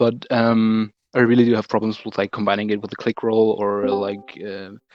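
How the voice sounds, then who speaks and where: Talking at a moderate pace, a man with a German accent uses a fairly low pitch and monotone, flat intonation. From Germany. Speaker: beginner beatboxer asking a question. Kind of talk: asking questions on a call. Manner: halting, stammering.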